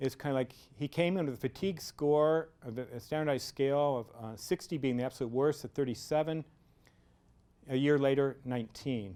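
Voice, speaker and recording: A man talks at a fairly quick pace with a fairly high pitch and ordinary pitch variation. It is a normal speaking voice. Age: 50s. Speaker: physician. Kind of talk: lecture.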